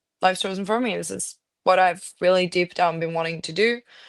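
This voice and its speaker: In a quiet background, a woman speaks at a medium pitch with fairly even intonation. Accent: non-native. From Norway. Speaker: actress. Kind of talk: interview. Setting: podcast.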